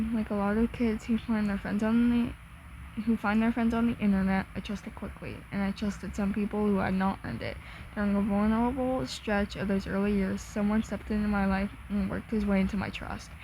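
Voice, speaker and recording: The speaker is soft-spoken, moving at a fairly quick pace. There are hardly any pauses. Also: woman. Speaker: content creator reacting to a statement. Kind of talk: reading aloud. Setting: at home, in own room. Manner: halting.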